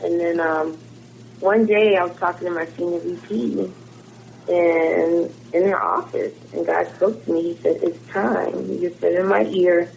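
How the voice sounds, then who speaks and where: A woman with an American accent speaks at a fairly slow pace over noticeable background noise. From Philadelphia suburbs, Pennsylvania. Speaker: musician. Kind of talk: interview.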